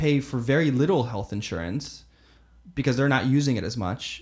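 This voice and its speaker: On a very clean recording with a silent background, a man with an American accent uses a plain, everyday voice at a fairly high pitch with lively intonation. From US South, Florida (Fort Myers). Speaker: learning and development lead at a digital agency. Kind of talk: casual interview conversation.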